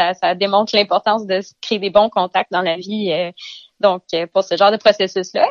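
Speaking at a moderate pace, a woman holds a medium pitch. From Eastern Ontario, Canada. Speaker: vegetable farmer. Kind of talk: interview. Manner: halting, with repetitions.

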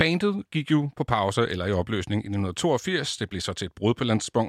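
A man uses a normal speaking voice, fairly low in pitch, with lively intonation. The sound is dry and close with no echo, in a very clean recording with a silent background. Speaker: radio host. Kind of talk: radio talk show.

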